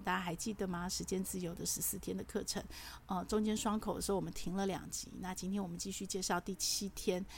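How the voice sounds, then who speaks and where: A woman's medium pitch with vocal fry, fairly even intonation, and a fairly quick pace. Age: 50s. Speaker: podcast host. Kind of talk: solo monologue. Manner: chatty, with frequent filler particles.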